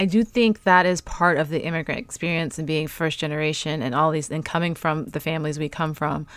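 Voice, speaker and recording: With a New York accent, a woman talks at a fairly quick pace with hardly any pauses, her very deep, low pitch showing ordinary variation. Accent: New York American. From New York City. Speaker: podcast host. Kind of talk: casual interview chat. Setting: video call.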